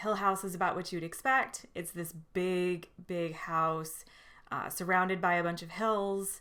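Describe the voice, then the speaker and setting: A woman's bright, sharp voice at medium pitch, with fairly even intonation and a moderate pace. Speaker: book reviewer. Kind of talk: casual monologue book review. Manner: casual, many fillers.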